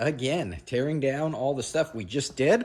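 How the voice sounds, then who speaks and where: A man's ordinary speaking voice at medium pitch and a fairly slow pace. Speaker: car builder / fabricator. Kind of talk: workshop tutorial. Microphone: no microphone, camera audio.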